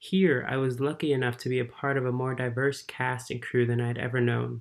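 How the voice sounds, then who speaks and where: A man speaks with an American accent at a fairly quick pace. His intonation is monotone and flat. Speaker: lighting design student. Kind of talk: prepared testimony. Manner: formal.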